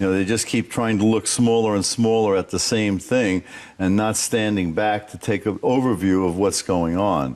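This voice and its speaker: A man with an American accent talks in a plain, everyday voice at fairly low pitch, keeping a moderate pace, fairly even intonation and very even loudness. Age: 60s. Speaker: scientist. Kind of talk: TV interview.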